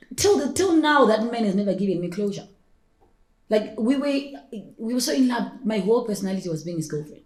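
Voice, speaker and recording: With lively intonation and a fairly high pitch, a woman speaks at a fairly quick pace amid audible room echo. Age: 30s. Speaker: personal stylist and entrepreneur. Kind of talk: podcast interview. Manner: fast.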